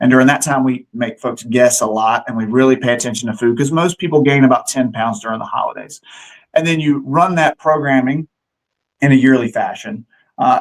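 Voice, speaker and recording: A man's unremarkable speaking voice with medium pitch, ordinary pitch variation and a fairly quick pace. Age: 40s. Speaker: fitness gym owner and trainer. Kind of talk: interview.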